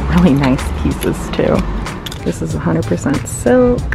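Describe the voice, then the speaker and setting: The recording is dry with no echo, and clear music plays in the background. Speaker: thrift vlogger. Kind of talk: casual vlog chat. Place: shop. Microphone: phone near.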